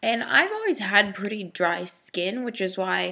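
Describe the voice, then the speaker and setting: A woman at a medium pitch speaks at a moderate pace in a bright, sharp tone with vocal fry. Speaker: vlogger. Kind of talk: personal video diary. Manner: rambling, hesitant.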